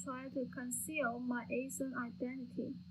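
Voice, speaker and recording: A woman speaks at a high pitch. Audible room echo is present. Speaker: student playwright. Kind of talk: dramatic reading.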